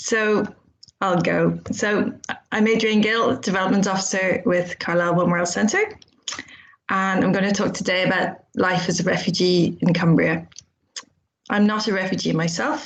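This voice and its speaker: Pausing long and often, a woman with a somewhat breathy voice and medium pitch speaks at a moderate pace. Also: fairly even intonation. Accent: Irish. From Ireland, Dublin. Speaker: charity development officer. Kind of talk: conference presentation. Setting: video call.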